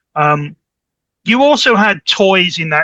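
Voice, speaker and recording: In a dry, close sound with no echo, a man with a British accent talks at a fairly slow pace. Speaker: network specialist. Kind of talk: podcast interview, technical explanation. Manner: repeats words, halting starts.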